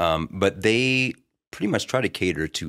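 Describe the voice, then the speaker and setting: A man's lively intonation at a moderate pace, dry and close with no echo. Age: 40s. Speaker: podcast host and middle school teacher. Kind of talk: casual chat.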